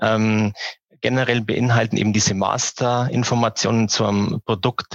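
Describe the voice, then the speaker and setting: This man speaks at a fairly slow pace in a medium pitch, with a dry, close sound and no echo. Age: 40s. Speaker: online retail company founder and managing director. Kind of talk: interview. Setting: early morning recording. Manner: halting, many filler sounds.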